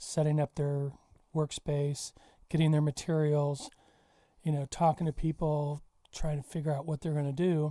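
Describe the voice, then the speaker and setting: The speaker is soft-spoken, leaving long, frequent pauses. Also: moderate pace. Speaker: art teacher. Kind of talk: podcast conversation.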